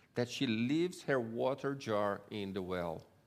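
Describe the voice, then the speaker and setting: A man with a fairly low voice and ordinary pitch variation speaks amid audible room echo. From Brazil. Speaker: Bible tour guide and guest speaker. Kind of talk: sermon. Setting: church.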